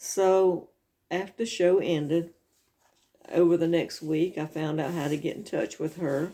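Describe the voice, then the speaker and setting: This woman has a dark, mellow tone and a fairly low pitch, talking at a moderate pace with a Southern US accent. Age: 60s. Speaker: video blogger. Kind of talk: casual chat.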